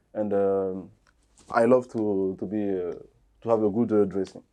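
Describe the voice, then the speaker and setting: A man with a French accent, fairly low-pitched and dark, mellow in tone, in a flat monotone at a moderate pace with long, frequent pauses against a quiet background. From DR Congo, Kinshasa. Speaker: fashion designer and stylist. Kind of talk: interview. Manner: halting, many fillers.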